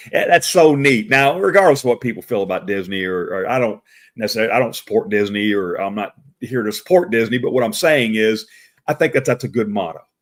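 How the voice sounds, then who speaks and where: On a very clean recording with a silent background, a man at medium pitch talks at a very fast pace with lively intonation. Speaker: professional Santa Claus and show host. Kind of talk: live stream talk. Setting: live video stream. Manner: loud, boisterous; halting, many repeated words.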